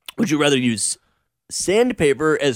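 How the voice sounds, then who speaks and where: On a very clean recording with a silent background, a man with a plain, everyday voice and fairly high pitch talks at a fairly slow pace. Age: 20s. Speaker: radio talk show host. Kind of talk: casual chat.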